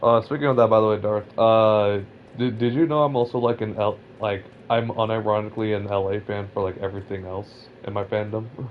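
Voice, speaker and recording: A man with a Californian accent, fairly low in pitch, at a fairly quick pace with fairly even intonation. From Southern California. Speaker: gaming streamer. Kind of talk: casual chat. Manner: halting.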